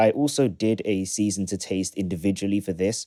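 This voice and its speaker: The dark, mellow tone comes through on a very clean recording with a silent background and a dry, close sound free of echo. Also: man. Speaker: music producer YouTuber. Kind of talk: tutorial. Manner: fast.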